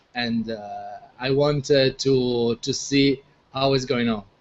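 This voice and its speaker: The speaker talks at a very slow pace with an Italian accent. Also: man. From Italy. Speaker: video marketing expert. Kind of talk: casual chat. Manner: halting.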